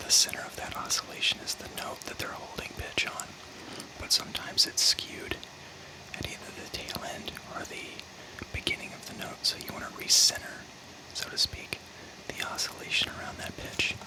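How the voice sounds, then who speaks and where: Whispering amid noticeable background noise, a man leaves long, frequent pauses, his loudness swinging widely. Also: moderate pace. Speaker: audio engineer and music producer. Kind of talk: tutorial. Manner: quiet.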